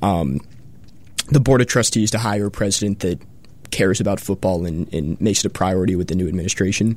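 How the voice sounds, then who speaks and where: A man speaks very fast with an American accent. His pitch is fairly low. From Colorado. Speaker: student sports fan. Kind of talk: casual sports talk. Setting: radio studio.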